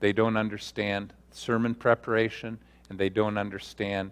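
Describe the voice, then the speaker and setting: A man in a normal speaking voice, fairly low in pitch, at a moderate pace. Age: 60s. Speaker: pastor and seminary teacher. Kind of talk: workshop talk with Q&A.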